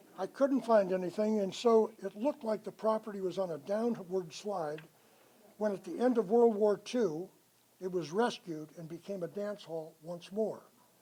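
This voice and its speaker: A man's high-pitched voice with an American accent, dark, mellow tone, ordinary pitch variation and moderate pace. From Culver City, Los Angeles, California. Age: 80s+. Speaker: local historian presenter. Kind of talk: illustrated history talk to a live audience.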